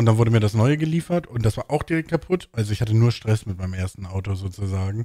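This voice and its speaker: A man's fairly low, dark, mellow voice, somewhat breathy, at a very fast pace with lively intonation, dry with no echo, against a quiet background. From northern Germany, Bremen; Germany. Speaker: podcast host. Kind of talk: casual chat. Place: home room. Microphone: studio mic.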